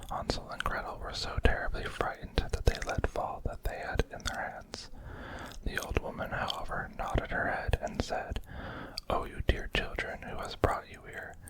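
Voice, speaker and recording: Whispered words come at a moderate pace against noticeable background noise. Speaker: ASMR reader. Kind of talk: whispered ASMR storybook reading. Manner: whispered, soft-spoken.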